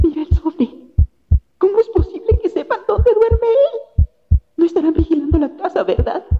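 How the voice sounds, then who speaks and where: In a put-on, shaky character voice with extremely high pitch, the speaker moves at a moderate pace broken by long, frequent pauses. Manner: trembling, fearful.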